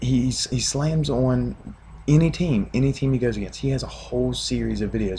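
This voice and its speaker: At a moderate pace, a man speaks with a West Virginia accent. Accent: West Virginian. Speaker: sports fan vlogger. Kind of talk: casual video rant.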